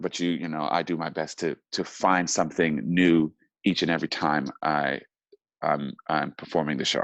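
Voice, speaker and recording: A man's very deep, low pitch with vocal fry, fairly even intonation and a moderate pace, in a dry, close sound with no echo. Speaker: actor. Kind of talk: interview answer.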